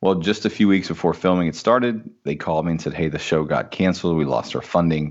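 With a Midwestern American accent, the speaker goes at a very fast pace with hardly any pauses and ordinary pitch variation. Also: man, very deep, low pitch for a man. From US Midwest, small-town Indiana. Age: 30s. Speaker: entrepreneur and former minister. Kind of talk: casual interview chat.

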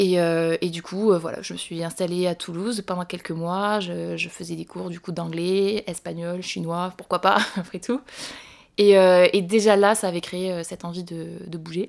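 At a fairly slow pace, a woman speaks with a fairly low pitch and monotone, flat intonation, while her loudness swings a lot. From southwestern France, Montauban. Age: 20s. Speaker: traveller. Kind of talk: casual chat.

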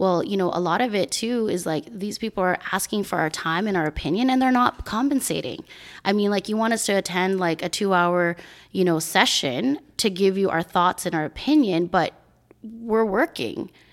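A woman with a normal speaking voice talks at a moderate pace with medium pitch and lively intonation, on a very clean recording with a silent background. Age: 40s. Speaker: community advocate and entrepreneur. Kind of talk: casual chat.

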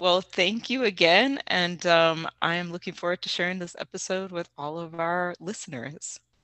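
A woman speaks in a fairly low register with an American accent and ordinary pitch variation. Her pace is moderate, with hardly any pauses. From US South. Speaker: podcast host. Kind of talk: interview.

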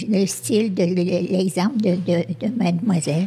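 Over noticeable background noise, a woman speaks at a very slow pace with lively intonation. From Quebec, Sherbrooke. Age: old. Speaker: community group founder, senior. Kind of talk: casual discussion. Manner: halting, repeats words.

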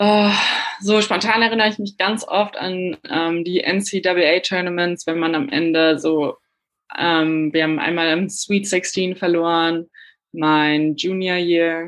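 Against a quiet background, a woman speaks at a very slow pace. Her pitch is fairly low and her intonation fairly even. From Germany. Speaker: professional basketball player. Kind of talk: casual interview.

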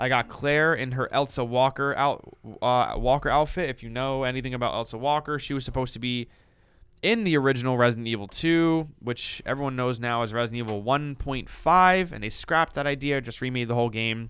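This is a normal speaking voice delivered at a fairly quick pace. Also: man, medium pitch for a man, ordinary pitch variation. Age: 20s. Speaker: podcast host. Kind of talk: casual chat.

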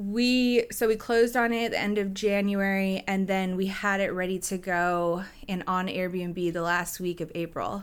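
In a very clean recording with a silent background, a woman with an unremarkable speaking voice talks at a fairly slow pace and a medium pitch, with hardly any pauses and fairly even intonation. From Washington State, Gig Harbor. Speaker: real estate broker and short-term rental host. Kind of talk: casual interview.

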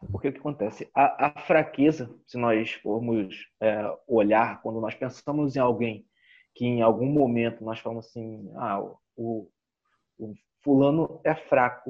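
Here is a plain, everyday voice, a man's at a medium pitch. He moves at a fairly slow pace with ordinary pitch variation. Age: 30s. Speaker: business consultant and coach. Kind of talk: interview. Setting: video call.

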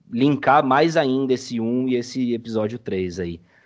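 A man with a normal speaking voice at medium pitch, talking at a moderate pace. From Brazil, São Paulo city. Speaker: audio drama editor. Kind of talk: casual chat. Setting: video call.

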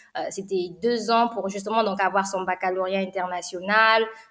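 Against noticeable background noise, a woman talks at a fairly quick pace in a medium pitch with flat, monotone intonation. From Republic of the Congo (Brazzaville). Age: 20s. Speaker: startup studio co-founder. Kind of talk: interview.

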